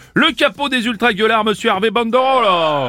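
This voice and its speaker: Music plays in the background as a man speaks. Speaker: radio host playing straight-man interviewer. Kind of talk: mock news interview in a comedy sketch. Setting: radio studio. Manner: politely exasperated.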